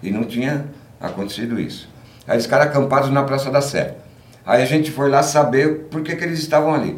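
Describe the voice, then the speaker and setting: Noticeable background noise sits under a man's speech. The room gives audible echo. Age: 60s. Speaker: punk musician. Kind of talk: casual interview.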